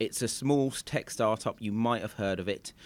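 A man with a British accent, medium pitch and fairly even intonation, on a very clean recording with a silent background. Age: 30s. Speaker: podcast host. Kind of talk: interview.

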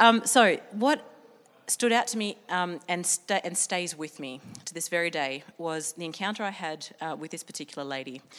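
Speaking at a moderate pace in an Australian accent, a woman with fairly low pitch uses lively intonation and big swings in loudness. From Sydney, North Shore. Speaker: business leader, innovation and risk expert. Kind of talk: talk to a live audience. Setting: stage with audience.

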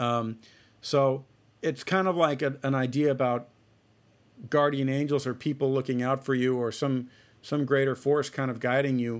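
Speaking at a moderate pace with an American accent, a man uses a medium pitch and fairly even intonation, broken by long, frequent pauses. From Ohio, US Midwest. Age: 30s. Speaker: jazz trumpet player. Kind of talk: casual interview chat.

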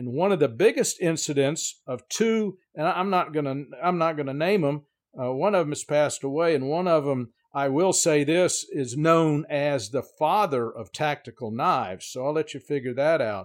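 The recording is very clean with a silent background, and a man with an American accent speaks in a plain, everyday voice. His pitch is fairly high, his pitch variation ordinary and his pace moderate. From Miami, Florida. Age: 60s. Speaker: knife maker. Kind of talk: casual interview chat.

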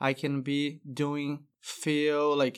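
In a Brazilian accent, a man speaks at a fairly high pitch. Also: very clean recording, silent background. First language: Portuguese. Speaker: flooring business owner. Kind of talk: casual interview.

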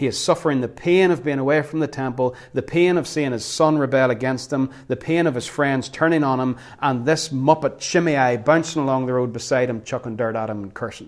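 A man with a normal speaking voice at medium pitch talks at a fairly quick pace with hardly any pauses. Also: ordinary pitch variation. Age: 40s. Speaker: pastor. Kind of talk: sermon.

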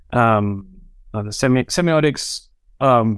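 A man speaks at a fairly slow pace with a British accent. His pitch sits in the medium range. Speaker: brand designer. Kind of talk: casual interview chat. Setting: video call.

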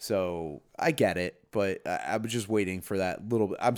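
This man has a plain, everyday voice with a fairly low pitch and ordinary pitch variation. The recording is very clean with a silent background. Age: 30s. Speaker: podcast co-host, father. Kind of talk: casual chat.

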